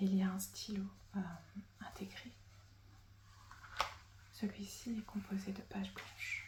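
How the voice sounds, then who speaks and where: A woman at a fairly slow pace, with long, frequent pauses over noticeable background noise. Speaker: ASMR creator. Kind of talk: ASMR roleplay as a stationery shop assistant. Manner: whispered, soft-spoken.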